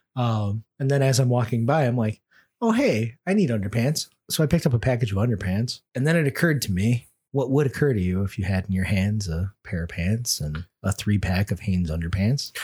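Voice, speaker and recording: A man with an American accent talks at a fairly quick pace and a medium pitch, somewhat breathy, with a dark, mellow tone and lively intonation. The sound is dry and close with no echo, on a very clean recording with a silent background. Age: middle-aged. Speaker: podcast host. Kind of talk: casual chat. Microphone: too close to the mic at times.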